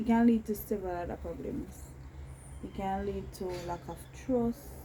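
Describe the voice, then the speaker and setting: A soft-spoken woman at a moderate pace, with big swings in loudness over noticeable background noise. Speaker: relationship vlogger. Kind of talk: casual chat.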